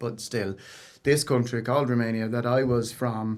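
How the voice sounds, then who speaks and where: This man has an Irish accent and a medium pitch. He talks at a moderate pace with monotone, flat intonation. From Ireland. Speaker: singer-songwriter. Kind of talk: interview.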